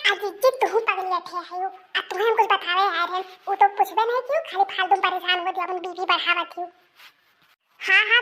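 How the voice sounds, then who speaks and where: Squeaky and cartoonish, a woman's character voice runs at an extremely high pitch and a fairly quick pace with fairly even intonation. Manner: bossy, rapid rustic chatter.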